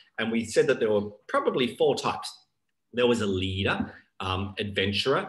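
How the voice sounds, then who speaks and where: A man talks at a moderate pace in a medium pitch. His voice is somewhat breathy. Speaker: business coach leading group session. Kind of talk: online workshop presentation. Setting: video call.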